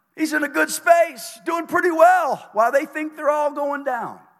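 An extremely high, raised, projected man's voice with an animated, bright, sharp tone, ordinary pitch variation and a fairly slow pace. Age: 60s. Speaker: pastor. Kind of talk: sermon. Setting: church.

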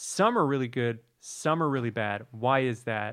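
At a moderate pace, a man at medium pitch talks in a plain, everyday voice, recorded very cleanly against a silent background. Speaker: actor, guest. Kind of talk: casual chat.

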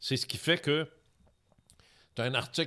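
A man with a Quebec accent speaks at a moderate pace. The recording is very clean, with a silent background. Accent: Québécois French. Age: 70s. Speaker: retired radio host and UFO author. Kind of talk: casual interview.

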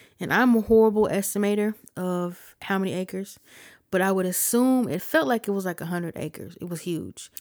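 A woman speaks in an American accent with an unremarkable speaking voice and ordinary pitch variation. The recording is very clean, with a silent background. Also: medium pitch for a woman, fairly quick pace. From Ohio, US. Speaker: podcast host, musician and producer. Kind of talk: casual podcast monologue.

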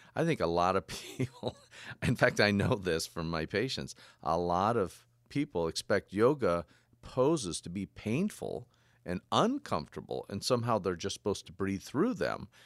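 In a very clean, silent recording with a dry, close sound and no echo, a man with an ordinary speaking voice and a fairly low pitch speaks at a moderate pace with lively intonation. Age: 50s. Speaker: doctor and podcast co-host. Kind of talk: casual interview.

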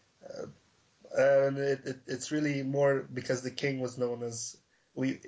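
A somewhat breathy man at a fairly slow pace. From Aruba. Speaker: guest co-host. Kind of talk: casual chat.

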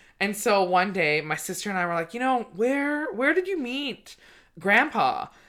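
On a very clean recording with a silent background, a woman with a fairly high pitch and a bright, sharp tone speaks at a moderate pace, her pitch swinging very widely. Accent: Canadian. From Canada, British Columbia. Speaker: comedian podcast host. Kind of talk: casual chat. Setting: studio.

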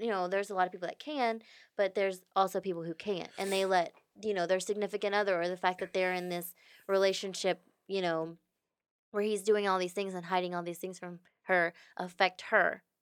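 A woman speaks with a Texan accent at a fairly quick pace and fairly even intonation. The recording is very clean, with a silent background. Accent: Texan American English. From Houston, Texas. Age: 20s. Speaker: podcast guest, friend of host. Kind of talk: casual chat.

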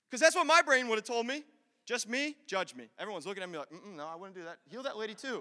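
A man speaks in a raised, projected voice at an extremely high pitch, with a bright, sharp tone. He sounds animated, talking at a very fast pace with very wide pitch swings. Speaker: pastor. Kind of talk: sermon. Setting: church.

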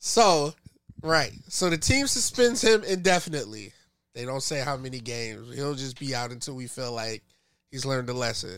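An unremarkable speaking voice from a man, medium in pitch and moderate in pace, with big swings in loudness on a very clean recording with a silent background. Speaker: podcast host. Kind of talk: casual banter podcast.

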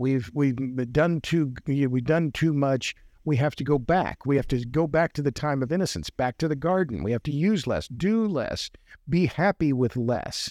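A plain, everyday voice at a moderate pace with ordinary pitch variation, dry and close with no echo over a quiet background. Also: man, fairly high pitch for a man. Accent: American. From Oklahoma. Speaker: writer and podcaster on energy. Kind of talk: podcast interview.

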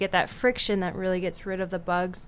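A woman with an Upper Midwest accent speaks with fairly even intonation. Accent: Upper Midwest American. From South Dakota, Sioux Falls. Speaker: medical student. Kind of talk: radio interview.

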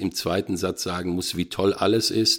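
A man with a very deep, low voice is heard on a very clean recording with a silent background. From western Germany, between Dortmund and Münster. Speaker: football commentator. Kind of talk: casual interview.

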